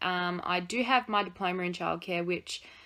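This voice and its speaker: In an Australian accent, a woman speaks at a moderate pace and a medium pitch. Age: 20s. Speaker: vlogger. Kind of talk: casual Q&A vlog. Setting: home study. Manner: chatty, informal.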